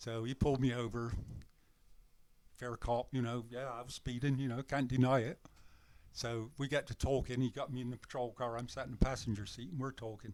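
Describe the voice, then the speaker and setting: A man's medium-pitched voice with a British accent, fairly quick, with monotone, flat intonation. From England. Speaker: retired long-haul truck driver. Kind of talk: casual chat.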